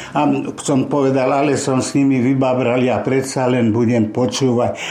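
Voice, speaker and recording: A man speaks in a monotone, flat intonation. Noticeable background noise and audible room echo surround his voice. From western Slovakia, Nitra. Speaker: Holocaust survivor and war veteran. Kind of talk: oral history testimony. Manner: halting, with repetitions.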